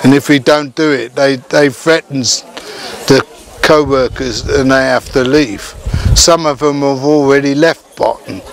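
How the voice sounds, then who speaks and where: Noticeable background noise sits behind a man's voice. He speaks at a fairly slow pace, with a fairly high pitch and fairly even intonation. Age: 60s. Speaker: village community resident. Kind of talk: testimony. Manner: halting.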